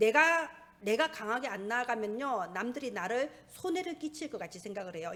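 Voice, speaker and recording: A woman speaks in a Gyeongsang accent at a moderate pace. Her fairly high voice moves through very wide pitch swings. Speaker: pastor. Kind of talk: sermon. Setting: church.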